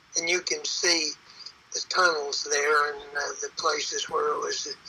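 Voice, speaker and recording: A man speaks very slowly, with noticeable background noise behind him. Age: 80s+. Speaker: retired gold miner. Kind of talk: guided tour narration.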